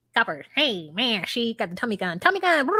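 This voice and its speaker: A female-sounding voice puts on a character voice at a fairly high pitch. It moves at a fairly quick pace with very wide pitch swings. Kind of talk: street slang.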